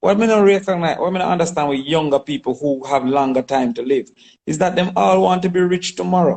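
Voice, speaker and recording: Speaking at a fairly quick pace, a man with a Jamaican accent uses a fairly high pitch and lively intonation. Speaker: politician and goat farmer. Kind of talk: interview.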